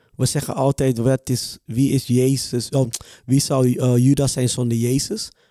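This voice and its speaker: A man's medium-pitched voice, dark and mellow in tone, flat and monotone in delivery, with a dry, close sound and no echo. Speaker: podcast co-host. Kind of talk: casual chat, testimony. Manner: halting, repeats words.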